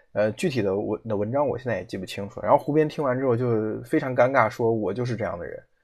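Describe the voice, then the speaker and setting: Racing at a very fast pace, a man speaks with ordinary pitch variation. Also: medium pitch for a man. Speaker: podcast host. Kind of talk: solo commentary. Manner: hesitant with frequent fillers.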